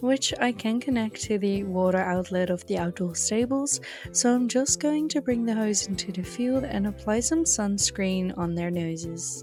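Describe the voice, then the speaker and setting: A woman with a European accent and lively intonation, with music in the background. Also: medium pitch for a woman, moderate pace. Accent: non-native English, European. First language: not English. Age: 20s. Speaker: video game roleplay content creator. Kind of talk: roleplay game narration.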